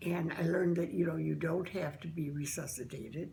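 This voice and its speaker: A very deep, low female voice, dark and mellow with vocal fry, set in audible room echo. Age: 80s+. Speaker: interviewee, member of an end-of-life choice group. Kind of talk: testimony. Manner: halting.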